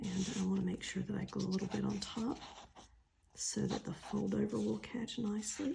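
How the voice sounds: Vocal fry runs through a dark, mellow tone with fairly even intonation, and the room echo is audible. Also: woman, medium pitch for a woman, moderate pace.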